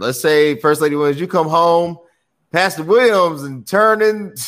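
A man is speaking. His pace is moderate. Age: 30s. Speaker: podcast host. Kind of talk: casual chat. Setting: video call.

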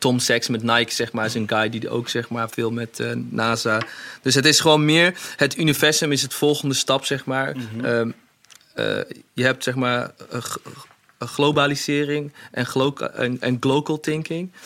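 A man with a normal speaking voice, medium pitch, moderate pace and fairly even intonation. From Netherlands, Hasselt near Zwolle. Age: 30s. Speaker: fashion designer. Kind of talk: interview.

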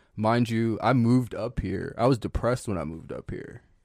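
On a very clean recording with a silent background, a man with an American accent talks in a normal speaking voice at a medium pitch with fairly even intonation, the sound dry and close with no echo. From Northern Virginia, US. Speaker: cowboy and clothing brand owner. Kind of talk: casual chat.

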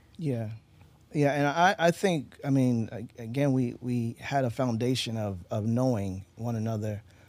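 A man speaks with an American accent at a fairly slow pace, in an ordinary speaking voice. His pitch sits in the medium range and varies in an ordinary way. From Eastern Shore of Maryland. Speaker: husband in couple interview. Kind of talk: casual interview.

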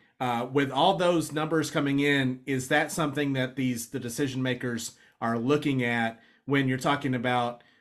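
Here is a plain, everyday voice with fairly even intonation. It moves at a moderate pace. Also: man, very clean recording, silent background. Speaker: podcast co-host. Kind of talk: casual chat.

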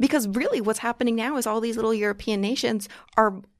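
A woman with an American accent on a very clean recording with a silent background. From New York, Long Island. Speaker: political commentator. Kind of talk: casual chat. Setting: studio.

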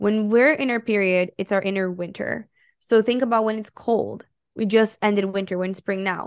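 Against a quiet background, a woman talks at a moderate pace in a medium pitch with an animated tone. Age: 20s. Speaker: holistic health coach. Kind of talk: casual chat.

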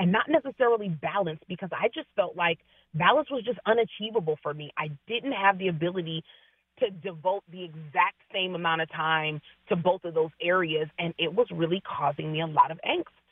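This woman speaks with a West Coast accent at a medium pitch. Her intonation is lively. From US Pacific Northwest, Seattle area. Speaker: registered nurse and wellness coach. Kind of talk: radio interview.

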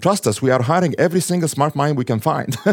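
The voice belongs to a man. He rattles through his words extremely quickly. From Egypt. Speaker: tech company founder. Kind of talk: interview.

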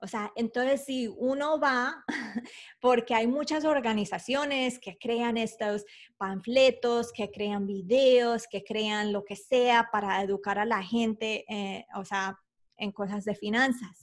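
A woman speaks very slowly in a fairly high pitch. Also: ordinary pitch variation. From Colombia (Bogotá). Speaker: personal finance expert. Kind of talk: interview.

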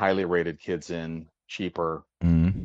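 The voice has a Midwestern accent, with a dry, close sound with no echo and a quiet background. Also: man. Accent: American Midwest. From US, St. Louis. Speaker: caller. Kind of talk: phone-in call. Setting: phone call.

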